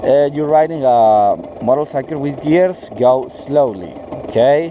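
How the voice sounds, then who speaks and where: A man with a non-native accent, fairly high in pitch with ordinary pitch variation, at a fairly slow pace amid noticeable background noise. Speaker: motorcycle vlogger. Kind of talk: tutorial. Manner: halting, many fillers.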